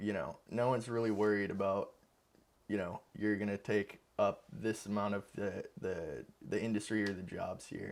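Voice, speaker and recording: A man with an ordinary speaking voice, fairly low pitch and ordinary pitch variation, at a moderate pace, with an American accent. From Huntsville, Alabama, US South. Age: 20s. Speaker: studio co-founder and videographer. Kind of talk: podcast interview.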